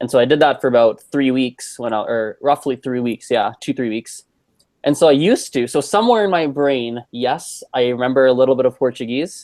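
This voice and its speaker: A man's normal speaking voice with a Canadian accent, medium in pitch with ordinary pitch variation, at a fairly quick pace, dry and close with no echo over a quiet background. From Canada. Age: 20s. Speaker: polyglot. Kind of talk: casual chat.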